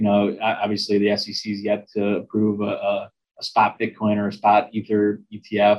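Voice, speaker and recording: Intonation stays monotone and flat as a man speaks in a fairly low pitch. His pace is moderate. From US Midwest, Chicago area. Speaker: investment executive and author. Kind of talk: interview.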